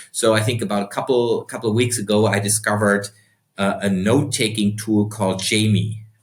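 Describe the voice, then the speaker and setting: A man with a German accent speaks at a fairly quick pace in a fairly low pitch. His delivery is somewhat breathy, monotone and flat, with very even loudness. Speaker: entrepreneur and investor. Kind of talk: podcast interview.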